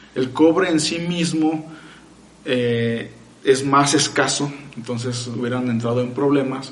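A man speaks at a very slow pace in a medium pitch with fairly even intonation. Noticeable background noise and audible room echo accompany him. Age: 30s. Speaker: freemason lecturer. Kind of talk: casual chat.

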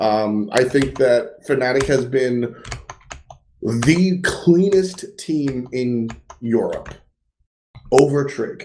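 Audible room echo carries a man's dark, mellow voice as he speaks at a very slow pace with long, frequent pauses. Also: medium pitch for a man, ordinary pitch variation. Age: 20s. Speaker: esports podcast co-host. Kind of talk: casual chat. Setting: home.

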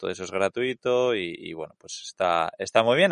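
Against a quiet background, a man with an ordinary speaking voice and medium pitch talks at a fairly quick pace with lively intonation, in a dry, close sound with no echo. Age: 30s. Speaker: travel podcast co-host. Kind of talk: casual chat.

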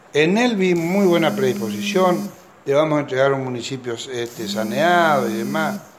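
Against noticeable background noise and audible room echo, a man speaks at a fairly high pitch with very wide pitch swings. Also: moderate pace. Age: 50s. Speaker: politician, incoming mayor. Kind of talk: news interview. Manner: halting, many fillers.

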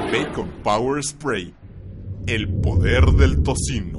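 A man talks with very wide pitch swings. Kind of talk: infomercial. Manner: hard-sell announcer, animated and punchy; exaggerated, tongue-in-cheek enthusiasm.

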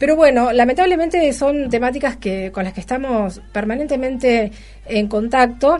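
A woman with a high pitch speaks at a moderate pace with lively intonation. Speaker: radio host. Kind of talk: radio interview and news talk.

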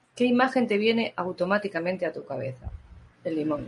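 Her pitch swings very widely as this woman talks at a fairly quick pace. Her voice is somewhat breathy. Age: 50s. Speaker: therapist. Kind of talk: live-stream talk and Q&A.

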